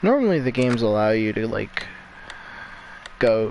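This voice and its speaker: This is a man speaking. Noticeable background noise runs under his voice. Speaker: gaming youtuber. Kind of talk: gameplay commentary. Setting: at another family's house at night. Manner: quiet, low volume; halting, filler-heavy.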